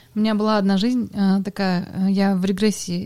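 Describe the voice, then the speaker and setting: A woman's dark, mellow voice at a medium pitch, with monotone, flat intonation. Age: 30s. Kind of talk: casual chat.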